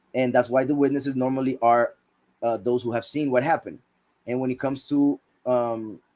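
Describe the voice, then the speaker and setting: With an unremarkable speaking voice, a man talks at a medium pitch with fairly even intonation. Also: fairly quick pace. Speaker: bible teacher. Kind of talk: scripture teaching.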